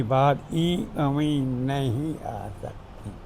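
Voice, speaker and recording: There is audible room echo as a man talks with ordinary pitch variation. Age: 90s. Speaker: retired government clerk. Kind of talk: family interview.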